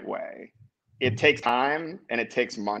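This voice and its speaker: A man speaks with an American accent at a moderate pace. The background is quiet. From US South, New Orleans, Louisiana; Louisiana. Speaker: tech company founder and CEO; podcast guest. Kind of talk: interview. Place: home room. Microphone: video call.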